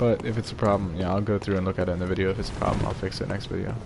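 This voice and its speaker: A soft-spoken man talks at a very fast pace with a very deep, low pitch. Noticeable background noise and audible room echo surround him. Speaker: gaming streamer. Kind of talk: let's play commentary. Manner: quiet, soft-spoken; casual, meandering.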